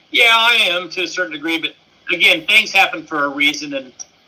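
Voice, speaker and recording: A man's fairly high voice at a fairly quick pace, ordinary pitch variation, and noticeable background noise. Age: 60s. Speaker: fan club co-founder and teacher. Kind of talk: casual interview.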